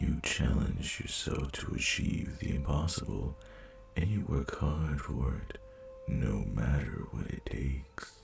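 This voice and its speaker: Using a put-on character voice, a man speaks fairly slowly at a very deep, low pitch over clear background noise. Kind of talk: seductive roleplay audio. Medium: audio drama. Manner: slow, velvety, condescending.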